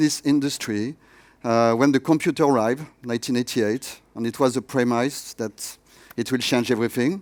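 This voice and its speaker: A man with a French accent, recorded very cleanly against a silent background. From France. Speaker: tech education executive. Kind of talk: conference keynote. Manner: hesitant with many fillers.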